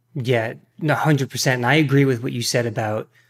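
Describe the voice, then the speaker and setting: A plain, everyday voice from a man at medium pitch, with fairly even intonation on a very clean recording with a silent background. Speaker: fitness coach and YouTuber. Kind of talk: casual conversation interview.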